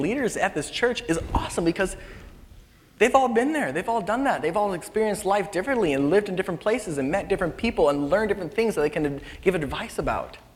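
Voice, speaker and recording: A man's lively intonation rings out over noticeable background noise. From Philippines. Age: 20s. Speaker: youth worship leader preaching. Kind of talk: sermon. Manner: casual, conversational.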